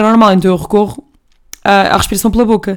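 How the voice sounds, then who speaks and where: Speaking at a very fast pace, a woman uses an animated tone and a medium pitch. She talks in a European Portuguese accent. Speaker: podcast host. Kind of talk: casual monologue.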